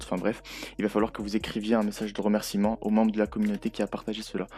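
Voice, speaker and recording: A man talks very fast, his pitch fairly low. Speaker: gaming youtuber. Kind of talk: tutorial. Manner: halting, many hesitations; casual.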